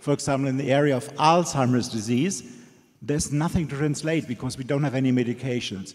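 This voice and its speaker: A man with a German accent speaks at a fairly high pitch. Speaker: audience member, Alzheimer's researcher. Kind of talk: audience question.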